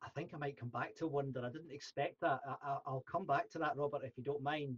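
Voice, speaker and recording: Against a quiet background, a man speaks in a Scottish accent at a fairly high pitch. His voice is somewhat breathy, with ordinary pitch variation. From Scotland. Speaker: podcast host. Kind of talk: interview. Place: home room. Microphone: video call.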